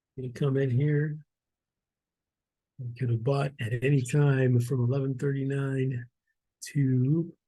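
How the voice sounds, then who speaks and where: A man speaks very slowly at a medium pitch, with flat, monotone intonation. His voice is somewhat breathy and dark and mellow in tone, broken by long, frequent pauses. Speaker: stock investing educator. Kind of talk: screen-share tutorial walkthrough. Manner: casual, conversational.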